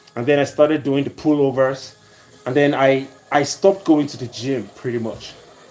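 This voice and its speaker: A man with a fairly high voice speaks at a moderate pace, and noticeable background noise is present. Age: 40s. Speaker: fitness trainer. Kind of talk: live stream chat. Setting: at home indoors. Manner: animated.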